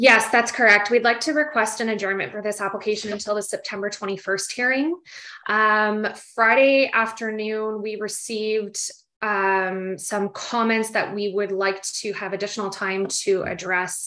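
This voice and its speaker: Over a quiet background, a woman speaks at a moderate pace. Her tone is bright and sharp, her intonation fairly even. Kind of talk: formal hearing request. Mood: polite, businesslike. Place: home room. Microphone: video call.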